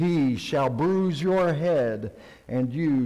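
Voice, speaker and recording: Over a quiet background, a man speaks in a dark, mellow tone. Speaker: pastor. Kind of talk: liturgical scripture reading. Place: church.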